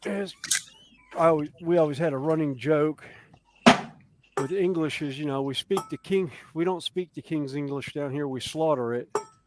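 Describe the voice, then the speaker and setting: A strong Southern US accent at a moderate pace, with ordinary pitch variation, long and frequent pauses, a dry, close sound with no echo, and noticeable background noise. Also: man. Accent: deep Southern. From US South, South Carolina (Columbia). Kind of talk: casual chat.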